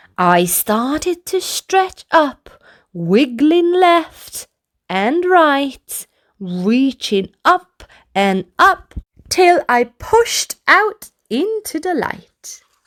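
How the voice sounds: A woman uses a put-on character voice, pitched high with big swings. She speaks at a very slow pace.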